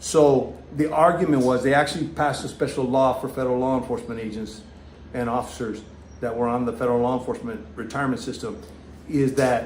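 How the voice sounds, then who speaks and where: At medium pitch, a man talks at a very fast pace with ordinary pitch variation. Noticeable background noise and audible room echo are present. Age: 60s. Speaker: retired federal law enforcement officer, vlogger. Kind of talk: live stream Q&A. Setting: live stream. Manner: halting.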